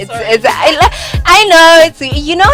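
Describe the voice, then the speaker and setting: A woman with a South African accent at a moderate pace, with music in the background. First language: isiZulu. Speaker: language teacher guest. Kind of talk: casual chat.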